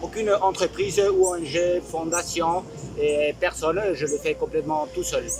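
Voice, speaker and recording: A man takes a fairly slow pace while noticeable background noise carries on behind him. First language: Spanish (speaking French). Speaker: sailor and boat builder, video blogger. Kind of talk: video introduction monologue. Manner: halting, many hesitations.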